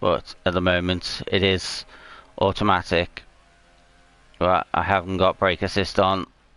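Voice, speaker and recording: A man's very deep, low voice, bright and sharp in tone, fairly slow, flat and monotone, with very even loudness. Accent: British. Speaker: gaming streamer. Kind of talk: live gameplay commentary. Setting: home livestream with PS4 camera. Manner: hesitant, many fillers.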